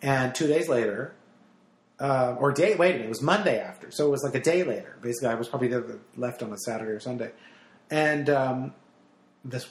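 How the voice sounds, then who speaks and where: A man's voice at a fairly quick pace. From New Jersey. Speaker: radio host and stand-up comic. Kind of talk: casual chat. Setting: in a home.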